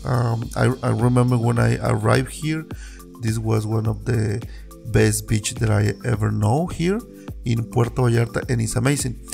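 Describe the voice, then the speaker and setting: Over clear background music, a man talks at a fairly slow pace. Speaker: local tour guide. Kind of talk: casual vlog chat. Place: waterside. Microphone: phone near.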